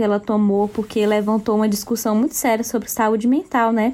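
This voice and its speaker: Her voice fairly high, a woman speaks at a moderate pace with fairly even intonation in an ordinary speaking voice. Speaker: podcast co-host. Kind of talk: casual chat.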